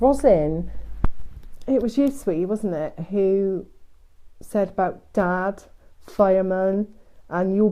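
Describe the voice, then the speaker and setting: A woman with a Devon accent and a dark, mellow tone, talking at a very slow pace with long, frequent pauses. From Devon, England. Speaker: psychic medium. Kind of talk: live stream reading. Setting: Facebook live stream.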